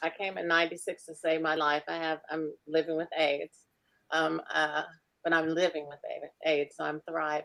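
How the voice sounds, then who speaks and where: With an American accent, a woman speaks in a very deep, low voice that sounds bright and sharp, her intonation monotone and flat. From Michigan, Detroit. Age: 60s. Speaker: candidate for governor, nurse and veteran. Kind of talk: candidate introduction.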